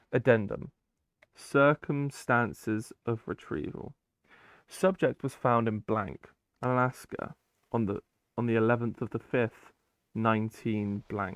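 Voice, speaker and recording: A man at medium pitch with ordinary pitch variation and long, frequent pauses, in a dry, close sound with no echo over a very clean, silent background. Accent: British. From Britain. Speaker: YouTuber reading SCP files with commentary. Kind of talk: reading aloud with casual commentary. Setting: gaming while recording. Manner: casual, with hesitations.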